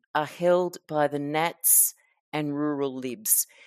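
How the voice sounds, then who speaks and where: Recorded very cleanly against a silent background, with a dry, close sound and no echo, a woman speaks at a very slow pace. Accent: Australian. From Queensland, Australia. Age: old. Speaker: podcast host and author. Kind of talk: interview. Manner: halting.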